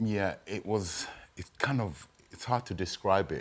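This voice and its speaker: A man is speaking. His voice has vocal fry. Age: 60s. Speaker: boxing trainer. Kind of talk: interview. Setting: studio.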